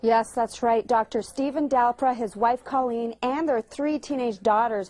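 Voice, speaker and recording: A woman's fairly high-pitched, an unremarkable speaking voice with fairly even intonation and a dry, close sound with no echo. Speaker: TV news reporter. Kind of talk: TV news report.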